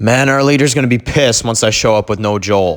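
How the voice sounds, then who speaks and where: A man's shaky, put-on character voice at a medium pitch, very fast pace, with music in the background. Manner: frightened, shaky.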